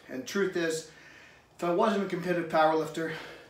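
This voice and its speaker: Moderate pace from a man, audible room echo around him. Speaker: strength coach. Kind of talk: fitness advice talk to camera. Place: garage. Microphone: camera far.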